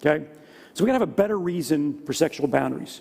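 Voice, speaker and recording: Speaking at a very fast pace, a man uses a high voice. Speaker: Bible study teacher. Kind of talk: lecture. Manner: quieter to guard voice.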